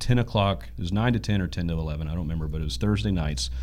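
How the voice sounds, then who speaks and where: Audible room echo surrounds a man with an American accent whose very deep, low voice carries lively intonation. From East Texas. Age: 30s. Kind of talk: interview.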